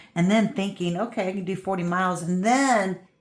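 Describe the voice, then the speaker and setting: A woman with a normal speaking voice talks at a fairly quick pace, at a medium pitch with ordinary pitch variation. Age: 60s. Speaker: crafting youtuber. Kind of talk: casual chat. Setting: visiting a friend's house.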